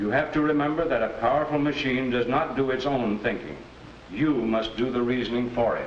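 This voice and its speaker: Noticeable background noise behind a man talking fairly quickly, medium in pitch, with ordinary pitch variation. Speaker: judge. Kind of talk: vintage educational film, courtroom drama. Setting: courtroom. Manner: formal, measured, authoritative, fatherly.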